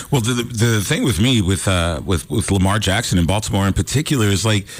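A somewhat breathy man talks at a fairly quick pace with lively intonation in a very clean recording with a silent background. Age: 50s. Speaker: sports analyst. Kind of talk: casual chat. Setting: studio.

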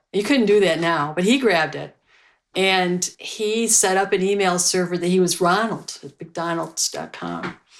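A woman with a normal speaking voice speaks at a fairly low pitch with fairly even intonation, recorded very cleanly against a silent background. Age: 60s. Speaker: librarian and internet pioneer. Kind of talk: interview storytelling.

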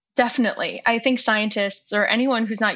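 Fairly even intonation and a moderate tempo in an unremarkable speaking voice. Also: woman. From US, Chinese immigrant family. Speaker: journalist and negotiation coach. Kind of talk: interview conversation.

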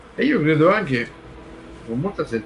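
A man speaks against noticeable background noise. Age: 60s. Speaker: music commentator. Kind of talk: casual chat.

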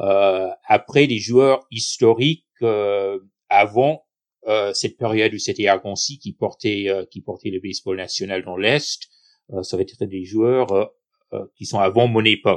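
A man with a fairly low pitch speaks very slowly with ordinary pitch variation. His loudness swings widely, and the background is quiet. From southern New York State, US. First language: English (speaking French). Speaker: baseball club president. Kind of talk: podcast interview. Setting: remote recording.

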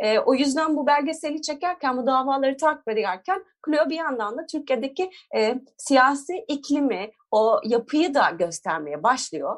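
A woman speaks at a moderate pace with a high pitch and lively intonation. The recording is very clean, with a silent background. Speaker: feminist lawyer and activist. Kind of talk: interview.

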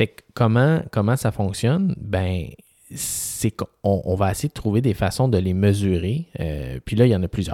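Speaking fairly slowly with lively intonation in a Quebec accent, a man has a dark, mellow, fairly low voice in a very clean recording with a silent background and a dry, close sound without echo. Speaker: physician podcast co-host. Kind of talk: casual chat.

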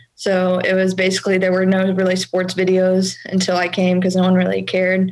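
Noticeable background noise sits under a woman talking at a medium pitch. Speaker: college student. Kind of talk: call-in question.

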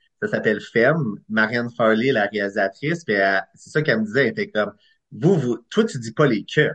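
Here a man at a medium pitch speaks fairly quickly in an unremarkable speaking voice. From Eastern Ontario, Clarence Creek. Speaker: screenwriter and director. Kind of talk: casual interview.

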